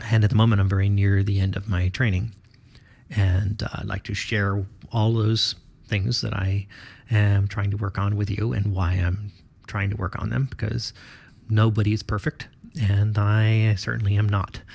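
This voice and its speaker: Fairly low in pitch, this man sounds somewhat breathy. He keeps a moderate pace and fairly even intonation. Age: 40s. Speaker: podcaster and student pilot. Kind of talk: solo podcast monologue. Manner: halting.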